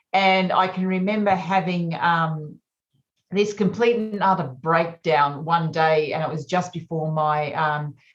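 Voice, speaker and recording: With an Australian accent, a woman talks at a fairly slow pace in a fairly low, somewhat breathy voice with fairly even intonation. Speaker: naturopath and menopause coach. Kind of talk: podcast interview.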